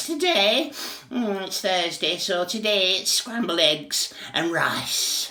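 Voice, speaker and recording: A man in a put-on character voice, high-pitched, at a fairly slow pace. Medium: read story.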